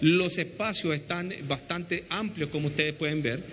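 A man speaks at a high pitch with fairly even intonation. His pace is moderate, with light background noise. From Chile. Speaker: airport operations manager. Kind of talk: on-location interview. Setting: on location at an airport. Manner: halting, repeats words. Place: hall. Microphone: handheld.

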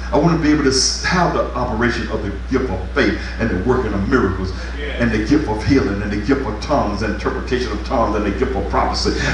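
A man talks at a very fast pace in a very deep, low voice with fairly even intonation, with audible room echo and noticeable background noise. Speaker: pastor. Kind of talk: revival sermon, fervent call-and-response exhortation to congregation. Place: church. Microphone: camera far.

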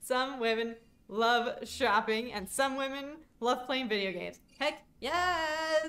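A woman's fairly high voice, bright and sharp in tone, with lively intonation over light background noise. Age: 20s. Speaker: gaming streamer. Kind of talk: casual livestream gameplay commentary. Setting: live stream. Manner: animated. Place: home room.

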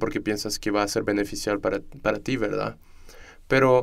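In a very clean recording with a silent background, a man speaks at a medium pitch with fairly even intonation. His is an unremarkable speaking voice. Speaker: student podcast host. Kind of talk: interview conversation. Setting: studio.

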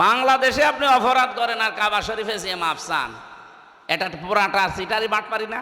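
A man with a high pitch and ordinary pitch variation speaks in an animated tone, his voice raised and projected. Room echo is audible, and there is noticeable background noise. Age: 30s. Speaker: Islamic preacher. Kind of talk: sermon at a religious gathering.

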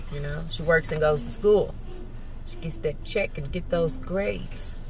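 There is noticeable background noise as a woman speaks at a fairly slow pace. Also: dry sound with no echo. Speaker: lifestyle vlogger. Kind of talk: casual vlog talk to camera. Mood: animated, venting, annoyed. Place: car. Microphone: phone near.

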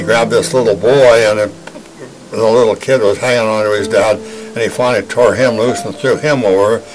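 A man's voice at a moderate pace, with clear music in the background. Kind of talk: interview answer. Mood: grave, recounting traumatic memory. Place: studio.

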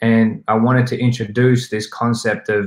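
Someone with an Australian accent talks at a moderate pace in a monotone, flat intonation, with audible room echo over a quiet background. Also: man. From South West Sydney, Australia. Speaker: hip hop artist and activist. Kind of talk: summit talk about his song. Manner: reflective, hesitant with frequent repetitions. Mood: calm, earnest, reflective. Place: home room.

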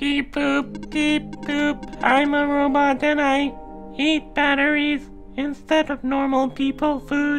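A put-on character voice speaks with a high pitch at a fairly slow pace. Clear music plays in the background. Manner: playful.

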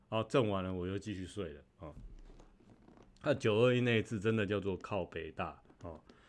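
This man's fairly low voice moves at a fairly quick pace, with big swings in loudness, ordinary pitch variation, and long, frequent pauses. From Taiwan. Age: 40s. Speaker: YouTuber; livestream host. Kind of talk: casual vlog monologue; casual livestream commentary. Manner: halting, many fillers and repeated words. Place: home room. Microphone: studio mic.

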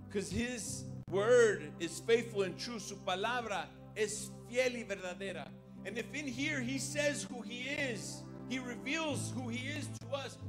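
A man at a fairly slow pace over clear music in the background. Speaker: preacher. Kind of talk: bilingual sermon. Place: church. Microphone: handheld.

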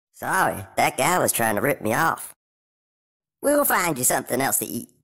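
A man puts on a raspy character voice at a medium pitch and moderate pace. The recording is very clean, with a silent background. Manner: casual, wry.

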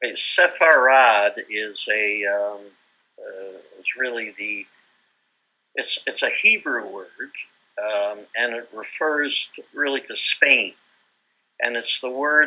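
A man's voice at a very slow pace, with big swings in loudness and long, frequent pauses. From Manitoba, Canada. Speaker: composer; interviewee. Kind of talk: casual chat. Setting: video call. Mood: relaxed, thoughtful. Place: home room. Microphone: video call.

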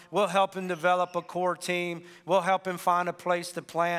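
At a moderate pace, a man talks in a monotone, flat intonation over a quiet background. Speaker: pastor. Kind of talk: sermon announcements. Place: church. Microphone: headset.

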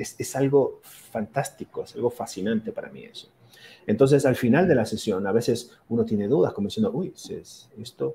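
A man's loudness rises and falls in big swings. He keeps a moderate speed. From Argentina, Mar del Plata; Argentina. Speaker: physician and akashic records reader; akashic records reader. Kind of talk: interview. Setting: video call. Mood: enthusiastic, fascinated. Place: home room.

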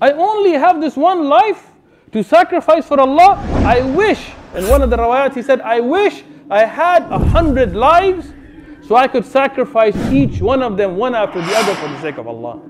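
A man talks at a moderate pace with an extremely high pitch and very wide pitch swings. Noticeable background noise runs underneath. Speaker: Islamic preacher. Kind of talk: sermon retelling a story of the companions, with rhetorical questions to the audience. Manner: animated, emphatic, in full flow, dramatizing the dialogue with a mocking tone; urgent and direct, addressing listeners.

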